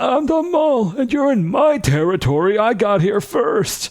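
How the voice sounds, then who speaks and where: A put-on character voice takes a fairly high pitch with very wide pitch swings. The pace is moderate. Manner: territorial, gruff.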